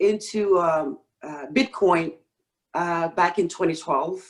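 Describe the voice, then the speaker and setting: A woman talks in a Senegalese accent. Her pitch is fairly low and her pace very slow. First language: Wolof. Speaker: stake pool operator, real estate professional. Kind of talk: podcast interview. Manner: halting, many fillers.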